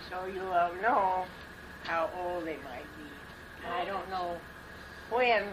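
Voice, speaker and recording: A woman with an American accent speaks at a very slow pace and fairly low pitch, with audible room echo and noticeable background noise. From Arizona, US Southwest. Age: 80s. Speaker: family elder. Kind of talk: family reminiscing. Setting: family gathering at home.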